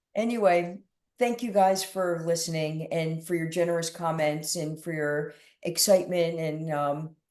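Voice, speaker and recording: A woman speaks at a moderate pace with a New Jersey accent. Her fairly low voice has a dark, mellow tone. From New Jersey, Middlesex County. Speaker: doctor, cannabis researcher. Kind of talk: Q&A on video call. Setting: video call. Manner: halting.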